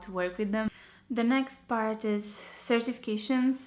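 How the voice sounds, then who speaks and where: A woman speaks with a Romanian accent. Her pitch is fairly high. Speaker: architecture graduate vlogger. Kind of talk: tutorial.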